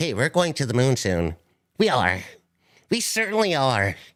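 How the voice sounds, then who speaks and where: Putting on a character voice, a man swings his pitch very widely around a medium level. He moves at a moderate pace on a very clean recording with a silent background. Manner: exaggerated, put-on.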